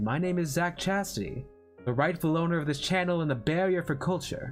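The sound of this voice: Music plays behind a man with a high pitch. He talks at a fairly quick pace with very even loudness.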